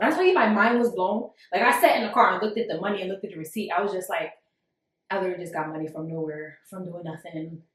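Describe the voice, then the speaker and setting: Her tone animated and her pitch medium, a woman talks very fast with big swings in loudness. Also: ordinary pitch variation. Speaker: podcast co-host. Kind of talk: casual chat. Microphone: echo in the room.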